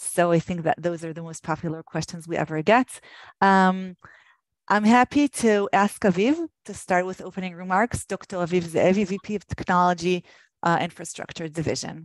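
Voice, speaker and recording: A woman with an Israeli accent speaks at a medium pitch and a moderate pace, with ordinary pitch variation and big swings in loudness. The sound is dry and close with no echo, against a quiet background. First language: Hebrew. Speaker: government program manager. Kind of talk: webinar presentation. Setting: online webinar. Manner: hesitant, many fillers.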